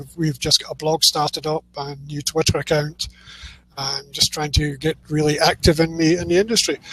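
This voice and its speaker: A man speaks in a Scottish accent at a fairly quick pace and fairly high pitch. The sound is dry and close with no echo, though noticeable background noise comes through. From Scotland. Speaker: publishing services provider. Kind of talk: casual interview chat.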